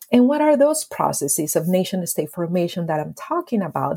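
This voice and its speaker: A woman with a Spanish accent speaks in a somewhat breathy voice with a dark, mellow tone. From Colombia, Medellin. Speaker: history professor and author. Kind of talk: interview.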